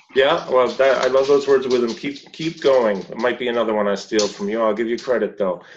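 This is a normal speaking voice with ordinary pitch variation. It runs on with hardly any pauses. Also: man, medium pitch for a man, fairly quick pace. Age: 50s. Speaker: movement coach and show host. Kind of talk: interview. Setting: video call.

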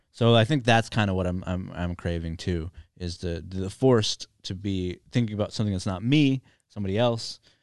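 A man with an American accent, fairly low pitch and ordinary pitch variation, at a fairly quick pace, in a dry, close sound with no echo over a quiet background. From US. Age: 30s. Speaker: comedian and podcast host. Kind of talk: casual chat. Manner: halting, many fillers and restarts.

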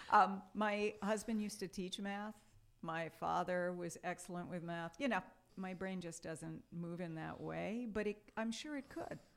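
A woman with an American accent has an unremarkable speaking voice at a medium pitch. She talks at a fairly slow pace with ordinary pitch variation. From New York, Brooklyn and Long Island. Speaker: English professor. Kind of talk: casual interview.

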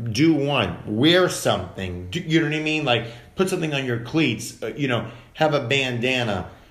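A man is speaking here. Audible room echo surrounds his voice. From Massachusetts (Dedham, Boston area). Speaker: actor. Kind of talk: casual chat.

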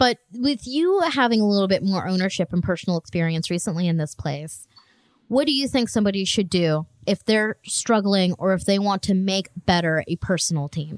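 A woman talks at a fairly quick pace in a medium pitch with lively intonation, a normal speaking voice. The sound is dry and close with no echo, a very clean recording against a silent background. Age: 20s. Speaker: podcast co-host; IT professional. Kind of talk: casual chat.

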